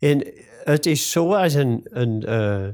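A very clean recording with a silent background and very wide pitch swings. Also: man. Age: 70s. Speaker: grave caretaker. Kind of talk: interview.

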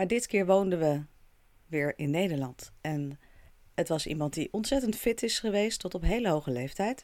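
Her pitch fairly low, a woman with a normal speaking voice talks at a moderate pace with lively intonation. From Netherlands. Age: 40s. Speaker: podcast host. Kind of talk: solo podcast monologue.

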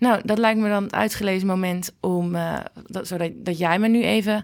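A woman with a normal speaking voice, medium pitch, fairly even intonation and a fairly slow pace, in a very clean recording with a silent background. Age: 30s. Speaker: podcast host. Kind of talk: interview. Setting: hospital.

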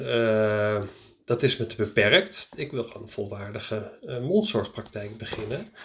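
A man's somewhat breathy voice moves fairly slowly, its intonation lively. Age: 40s. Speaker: practice start-up consultant. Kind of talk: solo podcast monologue. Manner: casual, hesitant with many fillers.

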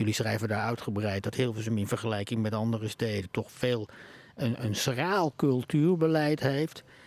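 In an ordinary speaking voice, a man of medium pitch talks at a moderate pace with ordinary pitch variation and very even loudness. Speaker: podcast host. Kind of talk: political interview. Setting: live podcast recording at a media festival, bar noise.

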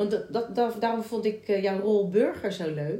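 Somewhat breathy and dark and mellow in tone, a woman's medium-pitched voice moves at a fairly slow pace with ordinary pitch variation. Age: 40s. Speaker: musical theatre actress and podcast host. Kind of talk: casual chat. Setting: at the guest's home.

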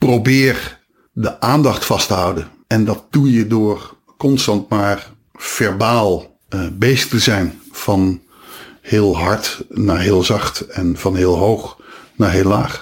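A man speaks at a very slow pace with very even loudness. His pitch is fairly low, with ordinary variation. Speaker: radio DJ and stadium announcer. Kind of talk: casual interview. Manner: animated.

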